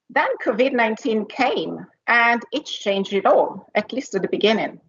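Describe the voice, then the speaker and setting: At a moderate pace, a woman speaks in an Italian accent with a fairly high pitch and ordinary pitch variation. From Italy. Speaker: corporate executive, R&D leader. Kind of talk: conference panel talk with slides.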